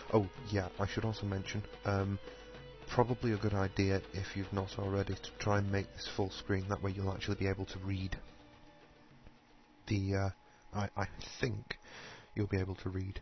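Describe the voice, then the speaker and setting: With music in the background, a man mumbles in a fairly low-pitched, monotone, flat voice at a moderate pace, leaving long, frequent pauses. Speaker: video game tutorial maker. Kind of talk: gameplay tutorial, reading on-screen text. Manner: mumbles a bit.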